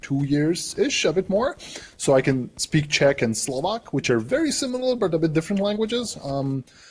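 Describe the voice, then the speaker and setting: Pitched high with very wide pitch swings, a man talks at a moderate pace over noticeable background noise. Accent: Serbian. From Serbia, Subotica (north, near Hungarian border). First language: Serbian. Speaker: cloud developer advocate. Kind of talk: interview. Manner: hesitant, many fillers.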